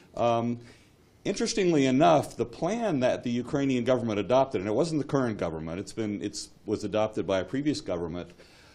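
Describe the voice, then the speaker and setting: A man with an American accent, very fast delivery, lively intonation, medium pitch and a dark, mellow tone. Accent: American accent, noticeable. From United States. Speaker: railway expert, government economist. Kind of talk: conference panel talk. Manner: halting, many fillers and repeats.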